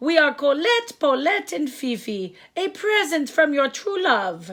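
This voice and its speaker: A woman uses a put-on character voice with a high pitch. She speaks at a fairly slow pace, with very wide pitch swings. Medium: read story.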